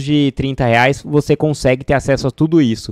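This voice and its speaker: Over a quiet background, a man in a normal speaking voice talks at a moderate pace with a fairly high pitch and fairly even intonation, the sound dry with no echo. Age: 30s. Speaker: data scientist and educational YouTuber; data career educator. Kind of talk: sales pitch; casual tutorial to camera.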